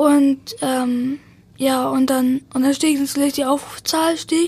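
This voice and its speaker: Very slow, high-pitched speech from a woman amid noticeable background noise. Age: young, 18. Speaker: best friend of the deceased. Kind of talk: interview. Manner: halting, many fillers and repetitions.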